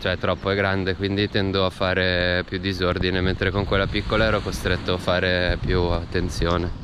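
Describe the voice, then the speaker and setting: A man with a very deep, low pitch speaks at a moderate pace with hardly any pauses and monotone, flat intonation. His loudness stays very even over noticeable background noise. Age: 30s. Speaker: bicycle traveller. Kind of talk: casual travel vlog talk to camera. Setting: outdoors.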